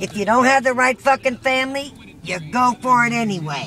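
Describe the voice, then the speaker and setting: The speech moves at a fairly slow pace, dry with no echo. Faint music plays in the background. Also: woman. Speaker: grandmother. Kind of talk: casual family conversation. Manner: blunt, profane. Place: car. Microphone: phone near.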